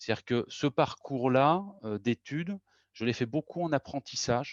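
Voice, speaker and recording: At a fairly slow pace, a man talks with ordinary pitch variation. The sound is dry and close with no echo, over a quiet background. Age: 40s. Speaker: organizational consultant, company co-founder. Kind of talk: interview. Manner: hesitant, many fillers and repetitions.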